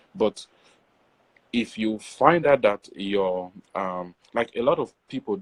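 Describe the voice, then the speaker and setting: A man speaks at a very slow pace with an Nigerian accent and a fairly low pitch. His intonation is lively, and the sound is dry and close with no echo. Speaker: poet. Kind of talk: interview.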